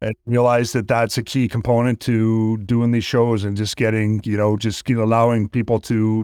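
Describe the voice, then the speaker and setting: In a Canadian accent, a man speaks at a fairly quick pace with monotone, flat intonation. The recording is very clean, with a silent background. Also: dry, close sound with no echo. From Canada. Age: 50s. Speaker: actor and stuntman. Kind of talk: casual interview.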